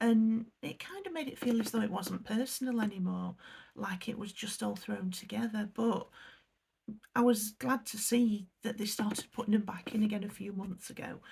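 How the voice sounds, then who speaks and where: A woman's fairly high, somewhat breathy voice at a moderate pace, with ordinary pitch variation and big swings in loudness. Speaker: unboxing youtuber. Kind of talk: casual unboxing review. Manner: hesitant, many fillers.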